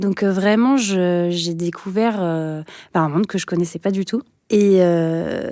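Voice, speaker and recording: Speaking at a very slow pace, a woman has a dark, mellow tone. The recording is very clean with a silent background. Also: fairly low pitch for a woman, ordinary pitch variation. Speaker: teacher. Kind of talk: interview testimony. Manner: hesitant with frequent fillers.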